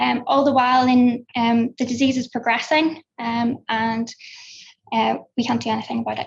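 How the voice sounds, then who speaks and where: In a Belfast accent, a woman speaks at a high pitch with fairly even intonation and a moderate pace. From Northern Ireland, Belfast. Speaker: researcher. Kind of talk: conference talk. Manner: hesitant with frequent fillers.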